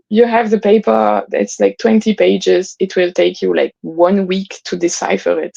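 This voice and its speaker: A woman speaks with a French accent at a moderate pace. The sound is dry and close, with no echo. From northern France. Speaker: palaeontologist, fossil preparator. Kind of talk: interview conversation.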